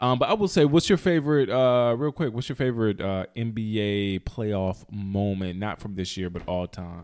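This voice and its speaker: A man with an American accent speaks in an ordinary speaking voice at a fairly low pitch, with ordinary pitch variation. His pace is moderate, and the recording is very clean with a silent background. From North Carolina, High Point-Greensboro area. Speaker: podcast co-host. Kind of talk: casual chat.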